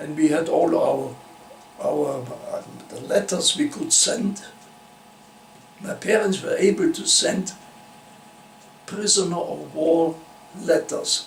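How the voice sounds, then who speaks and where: A man with a German accent at a very slow pace, with long, frequent pauses, big swings in loudness and noticeable background noise. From Austria (Vienna). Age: 90s. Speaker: Holocaust-era refugee interviewee. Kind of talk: oral history interview. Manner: halting, with false starts.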